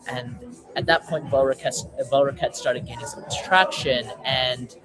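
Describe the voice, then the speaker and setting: A man with a Canadian accent at a moderate pace, big swings in loudness, music in the background. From western Canada. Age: 18. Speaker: startup founder. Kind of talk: casual talk on a webinar. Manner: halting, many fillers and repeats.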